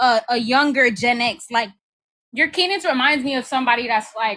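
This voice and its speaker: With a New York accent, a woman speaks at a moderate pace in a high voice with a bright, sharp tone. Her pitch varies in an ordinary way. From New York, Brooklyn. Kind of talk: casual chat.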